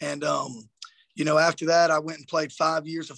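A man with a Southern US accent, fairly high pitch and monotone, flat intonation, in a dry, close sound with no echo. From South Georgia. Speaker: high school football coach. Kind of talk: interview.

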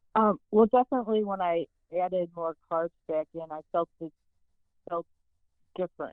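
With an American accent, a woman of fairly low pitch talks at a moderate pace with long, frequent pauses. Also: ordinary pitch variation. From US Midwest. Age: 60s. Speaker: caller. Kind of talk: call-in question. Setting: phone call. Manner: halting.

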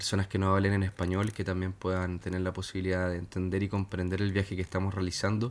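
In a Chilean accent, the speaker rushes at a very fast pace with hardly any pauses, very even loudness and monotone, flat intonation. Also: man, very deep, low pitch for a man. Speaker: musician. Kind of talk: interview.

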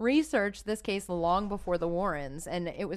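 Ordinary pitch variation marks a woman's fairly low voice. She has a normal speaking voice, set against a quiet background. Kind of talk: casual chat.

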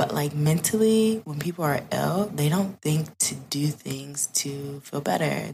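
With an American accent, a woman speaks in a very deep, low voice and lively intonation. Background noise is noticeable. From US Midwest, south suburbs of Chicago. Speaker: podcast guest, content creator. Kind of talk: casual chat.

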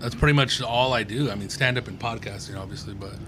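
Noticeable background noise behind a very fast, medium-pitched male voice. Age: 40s. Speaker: comedian and podcast host. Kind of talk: casual chat.

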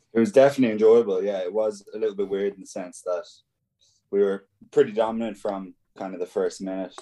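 Speaking very fast with an Irish accent, a man with a dark, mellow tone keeps his intonation fairly even while his loudness swings widely. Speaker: professional rugby player. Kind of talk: casual interview. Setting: video call.

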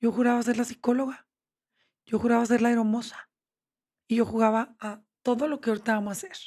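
A woman with a fairly high pitch and a dark, mellow tone talks very fast with fairly even intonation and long, frequent pauses. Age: 50s. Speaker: therapist. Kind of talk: interview. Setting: studio.

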